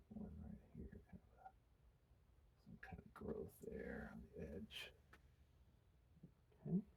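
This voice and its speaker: A man whispers at a very slow pace with long, frequent pauses. His loudness shifts in big swings. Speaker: painting instructor. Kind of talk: tutorial. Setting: quiet room, studio. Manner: whispering.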